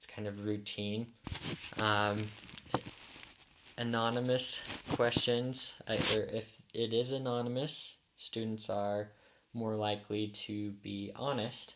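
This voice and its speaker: Speaking at a very slow pace with long, frequent pauses, the voice comes through over noticeable background noise. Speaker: education student. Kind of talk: class presentation. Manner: halting.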